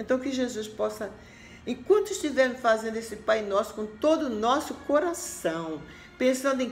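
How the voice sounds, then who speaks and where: Over music in the background, a woman speaks at a moderate pace. Her pitch swings very widely, and room echo is audible. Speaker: religious message presenter. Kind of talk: sermon.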